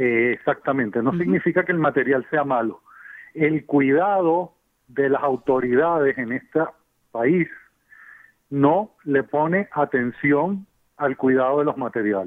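With a normal speaking voice, a man talks fairly slowly at a fairly high pitch, using ordinary pitch variation. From Venezuela. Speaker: civil engineer. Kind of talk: expert interview.

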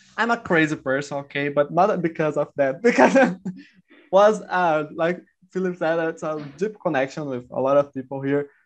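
A man's fairly high-pitched voice with ordinary pitch variation, at a moderate pace, against a quiet background. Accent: Brazilian. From Sao Paulo countryside, Brazil. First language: Portuguese. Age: 20s. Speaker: scientist, language learner. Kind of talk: casual group chat. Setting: video call, breakout room.

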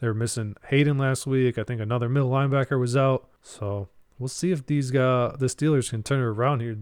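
Heard in a very clean recording with a silent background, a normal speaking voice moves at a fairly quick pace with fairly even intonation. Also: man, medium pitch for a man. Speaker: fantasy football podcast co-host. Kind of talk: casual chat.

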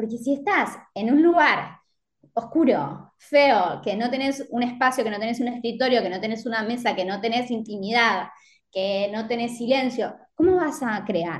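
Speaking at a fairly slow pace, a woman with an Argentine accent has a fairly high pitch and lively intonation. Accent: Rioplatense Argentine Spanish. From Argentina, Mar del Plata. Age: 30s. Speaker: fashion designer and social media marketer. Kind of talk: casual interview chat. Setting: remote call.

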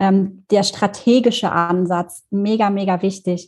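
A woman's somewhat breathy voice with fairly even intonation. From Germany, Thuringia (Erfurt). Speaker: social media freelancer. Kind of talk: casual interview.

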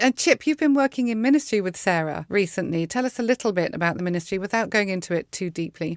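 With an English accent, a woman talks at a very fast pace with hardly any pauses, her medium pitch making very wide swings, in a dry, close sound with no echo. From England. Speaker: podcast host. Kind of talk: interview. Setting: remote recording from Dallas.

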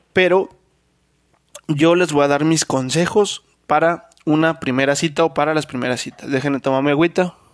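A man with a Mexican accent speaks at a moderate pace and fairly high pitch, his intonation fairly even. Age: 20s. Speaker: podcast host. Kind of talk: casual monologue.

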